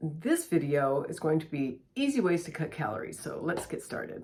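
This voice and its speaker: A woman's fairly low-pitched voice at a moderate pace, an unremarkable speaking voice. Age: 60s. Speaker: lifestyle vlogger. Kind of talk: casual tutorial. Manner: conversational.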